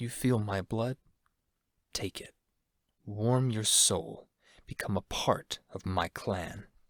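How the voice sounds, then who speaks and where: In a put-on character voice, a man speaks at a very slow pace and a fairly low pitch, with long, frequent pauses. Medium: read story.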